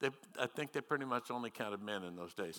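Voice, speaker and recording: Over a silent background on a very clean recording, a man with a Midwestern American accent speaks in a bright, sharp tone. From US Midwest, northwest Missouri. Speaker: retired pastor. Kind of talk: sermon. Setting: church.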